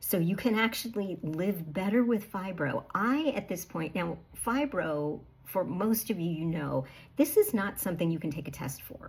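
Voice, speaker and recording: A woman with an American accent speaks at a moderate pace in a medium pitch. Her somewhat breathy voice swings very widely in pitch. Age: 60s. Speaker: health coach. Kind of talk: casual talk to camera. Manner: conversational with fillers.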